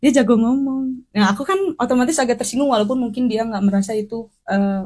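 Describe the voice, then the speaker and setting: A woman's high-pitched, very fast speech with ordinary pitch variation. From West Java, Sundanese. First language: Sundanese (speaking Indonesian). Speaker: podcast guest. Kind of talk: casual chat.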